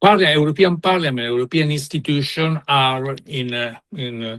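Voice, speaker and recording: The voice carries an Italian accent and ordinary pitch variation. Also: man. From Italy. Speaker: panel speaker on migration. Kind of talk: panel discussion. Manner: halting, many fillers and repetitions.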